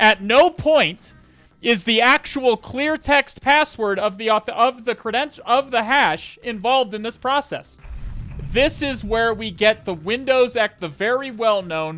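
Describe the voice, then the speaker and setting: A man with an extremely high pitch projects a raised voice at a fairly slow pace, his intonation lively and the sound dry and close with no echo. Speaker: cybersecurity streamer. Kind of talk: live-streamed hacking tutorial. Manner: loud.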